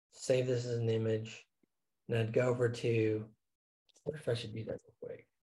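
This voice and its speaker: A man's medium-pitched, somewhat breathy voice with a dark, mellow tone, monotone and flat, at a moderate pace with long, frequent pauses. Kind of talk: casual business discussion.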